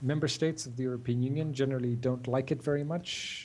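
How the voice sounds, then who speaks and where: A man's medium-pitched, somewhat breathy voice with a dark, mellow tone. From Ireland. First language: English (speaking French). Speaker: digital rights advocate. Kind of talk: interview. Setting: remote video call. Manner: halting, many fillers.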